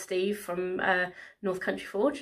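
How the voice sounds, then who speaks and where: Against a quiet background, a woman speaks in monotone, flat intonation. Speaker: vlogger. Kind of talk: casual vlog chat. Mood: happy, a bit emotional. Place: home room. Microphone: phone near.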